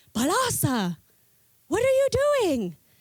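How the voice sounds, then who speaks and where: Putting on a squeaky character voice, a woman speaks at an extremely high pitch. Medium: read story. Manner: curious, puzzled.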